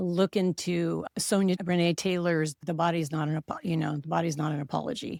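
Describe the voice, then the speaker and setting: The woman has an unremarkable speaking voice, fairly low in pitch, at a moderate pace. The sound is dry and close with no echo. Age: 60s. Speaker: nurse and author. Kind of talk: casual chat.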